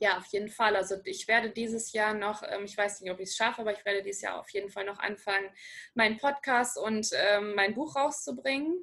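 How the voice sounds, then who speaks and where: At a fairly quick pace, a woman speaks with a bright, sharp tone. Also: ordinary pitch variation. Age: 30s. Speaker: breast cancer survivor. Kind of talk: interview testimony.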